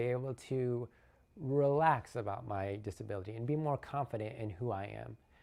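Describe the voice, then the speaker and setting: Over a quiet background, a man with a medium pitch and a dark, mellow tone speaks at a moderate pace with ordinary pitch variation. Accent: American. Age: 30s. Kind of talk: personal testimony.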